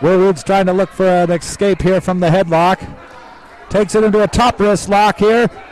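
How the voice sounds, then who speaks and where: A man speaks at a high pitch in an animated tone. Noticeable background noise is present throughout. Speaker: wrestling commentator. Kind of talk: live wrestling commentary. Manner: fast, animated play-by-play calling each move.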